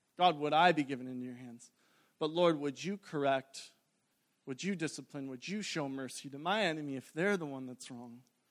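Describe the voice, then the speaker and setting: A man talks in an ordinary speaking voice at a fairly quick pace and fairly high pitch. His loudness swings widely, and his pitch variation is ordinary. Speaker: preacher. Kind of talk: fervent sermon-closing prayer, earnest petition to God. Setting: church with congregation. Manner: fervent, pleading, earnest, with a rhythmic 'Lord' repeated.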